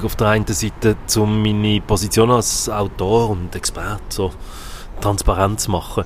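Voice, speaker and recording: Through noticeable background noise, a man with a Swiss accent speaks at a fairly slow pace and a fairly low pitch, keeping his intonation fairly even. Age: 50s. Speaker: psychologist. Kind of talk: interview.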